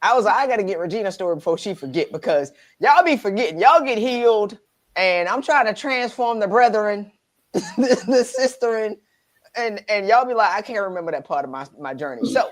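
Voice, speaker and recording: Loud and animated, this voice moves at a fairly quick pace with very wide pitch swings, captured in a very clean recording with a silent background. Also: woman, fairly high pitch for a woman. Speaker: life coach, channel host. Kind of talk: interview, casual chat. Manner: animated, gets loud.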